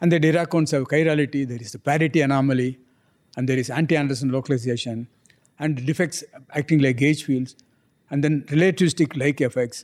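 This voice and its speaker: This man speaks very fast. His voice is pitched fairly high. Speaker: physicist. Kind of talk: interview. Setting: studio. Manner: animated.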